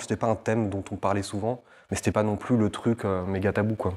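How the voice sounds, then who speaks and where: A man at a fairly quick pace in a monotone, flat delivery, on a very clean recording with a silent background. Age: 20s. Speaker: interviewee sharing faith testimony. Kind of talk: testimony interview. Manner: halting, many fillers.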